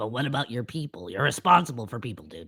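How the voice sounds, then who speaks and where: A man rattles off lines very fast in a put-on character voice, raspy and at medium pitch. His pitch swings very widely and his loudness jumps around a lot. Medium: actual play. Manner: casual, slangy, calls others dude.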